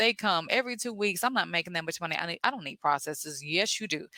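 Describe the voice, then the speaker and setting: A woman with a Southern US accent talks very fast in an animated, bright, sharp tone, with very wide pitch swings and hardly any pauses. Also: dry, close sound with no echo. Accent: southern American. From US South. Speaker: therapist and business coach podcast host. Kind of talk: podcast monologue coaching.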